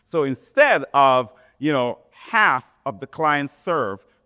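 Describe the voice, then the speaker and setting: An animated, passionate man speaks at a medium pitch in a bright, sharp tone, in a very clean, dry, close recording with a silent background and no echo. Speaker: seminar presenter, grant writing instructor. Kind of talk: lecture. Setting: community center seminar with audience.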